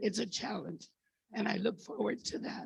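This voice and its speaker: A woman with vocal fry talks fairly quickly at a medium pitch. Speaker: farmer and board candidate. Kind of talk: candidate speech at a meeting.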